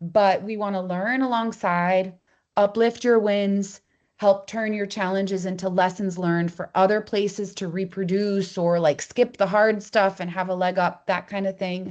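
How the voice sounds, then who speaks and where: A woman talks at a moderate pace with a flat, monotone delivery. Her pitch sits in the medium range, and the background is quiet. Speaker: co-op foundation representative. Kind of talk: presentation at online meeting. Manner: casual, conversational.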